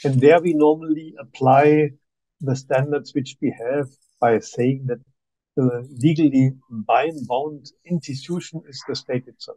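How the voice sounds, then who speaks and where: A man's dark, mellow tone at a fairly high pitch, with a German accent, fairly even intonation and a fairly slow pace. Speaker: human rights expert. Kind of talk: seminar presentation. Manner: halting.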